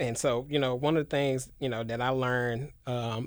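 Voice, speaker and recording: On a very clean recording with a silent background, a man with an American accent speaks in a monotone, flat intonation. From Memphis, Tennessee, US South. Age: 20s. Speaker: educator and community worker. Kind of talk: casual interview. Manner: halting, many fillers.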